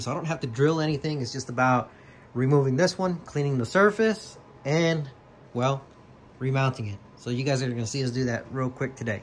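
Somewhat breathy, a man speaks at a fairly quick pace with ordinary pitch variation over light background noise. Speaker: car vlogger. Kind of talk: casual vlog chat. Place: garage. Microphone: phone near.

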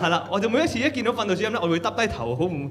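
A man talks very fast at a high pitch with lively intonation, with background noise clearly audible.

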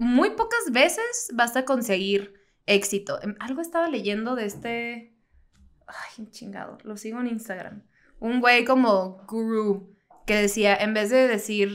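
At a very slow pace, a woman speaks with a fairly high pitch and ordinary pitch variation. Her loudness shifts in big swings. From Baja California, Mexico (Mexicali); Baja California, Mexico. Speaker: comedian; podcast co-host. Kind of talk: casual chat. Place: home room. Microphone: studio mic.

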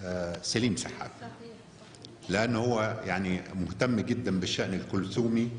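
Very slowly, a man talks in a fairly low pitch with ordinary pitch variation, with audible room echo and light background noise. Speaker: guest. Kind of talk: public talk. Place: hall. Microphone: podium.

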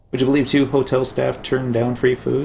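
The man speaks at a moderate pace with vocal fry and a slightly mellow tone. Audible room echo surrounds his voice.

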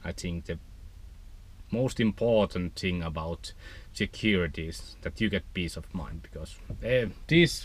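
A man speaks at a fairly slow pace, with a dry sound with no echo. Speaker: van life vlogger. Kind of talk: casual vlog explanation. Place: car. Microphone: camera far.

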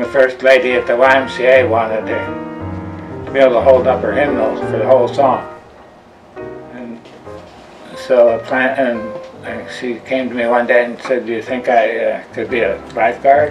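A man talks with ordinary pitch variation while clear music sounds behind him. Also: moderate pace. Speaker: fitness instructor and health coach. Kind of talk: interview answer. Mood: warm, relaxed storytelling. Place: kitchen. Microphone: webcam.

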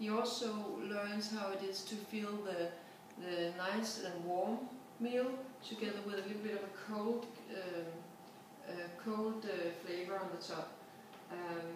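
A woman speaks with fairly even intonation and long, frequent pauses. Noticeable background noise and strong room echo fill the recording. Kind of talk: casual how-to explanation. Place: kitchen. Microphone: camera far.

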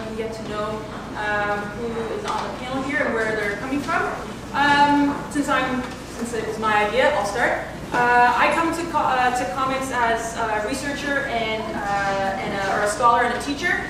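Over noticeable background noise and strong room echo, a woman talks at a moderate pace with ordinary pitch variation. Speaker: panel moderator. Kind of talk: panel introduction. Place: hall. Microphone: camera far.

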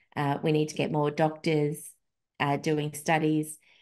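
With an Australian accent, a woman speaks fairly slowly in a very deep, low pitch and a dark, mellow tone against a quiet background. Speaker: podcast host, feminist researcher and blogger; podcast host, blogger. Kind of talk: casual chat. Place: home room. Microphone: video call.

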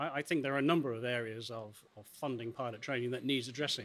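Very fast male speech with ordinary pitch variation. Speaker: interviewee. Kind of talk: interview answer. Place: hall. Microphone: handheld.

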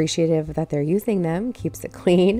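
Faint music sits in the background. A woman speaks at a moderate pace. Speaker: home cooking vlogger. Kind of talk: casual cooking tutorial. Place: kitchen.

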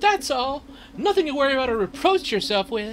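Putting on a character voice at an extremely high pitch, a man talks at a fairly quick pace over clear background noise. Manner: bossy, sarcastic.

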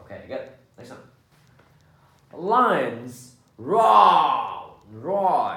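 Audible room echo follows a man's speech. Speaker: English teacher. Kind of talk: English lesson for children. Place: home room.

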